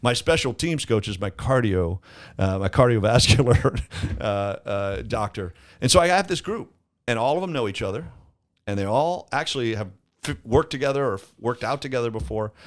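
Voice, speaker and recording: With an American accent and a normal speaking voice, a man speaks at a fairly quick pace at medium pitch, his intonation lively, in a very clean recording with a silent background. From Florida. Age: 60s. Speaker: construction company owner. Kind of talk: casual chat.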